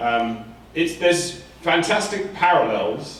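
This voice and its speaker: With an English accent and lively intonation, a man speaks amid noticeable background noise and audible room echo. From England. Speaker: professor. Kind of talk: conference talk. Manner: halting, many fillers and repetitions.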